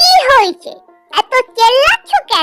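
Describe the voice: A woman's squeaky, cartoonish character voice at an extremely high pitch, with faint music in the background.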